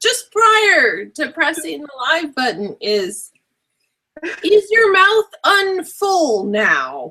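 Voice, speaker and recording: A woman's raised, projected voice at an extremely high pitch, with very wide pitch swings and a very slow pace. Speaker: web show co-host. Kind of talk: casual chat. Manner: animated.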